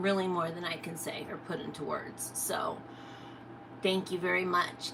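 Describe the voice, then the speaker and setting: A woman at medium pitch talks while noticeable background noise plays. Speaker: reptile keeper streamer. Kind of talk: casual live stream chat. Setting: live stream. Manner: occasional stutter, words come out backwards; hesitant, many fillers.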